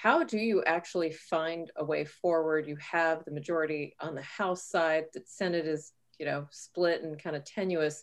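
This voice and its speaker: A woman with an American accent speaks at a moderate pace in a very deep, low voice, with fairly even intonation and hardly any pauses. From Texas, south of San Antonio. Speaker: physician and health policy expert. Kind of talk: interview.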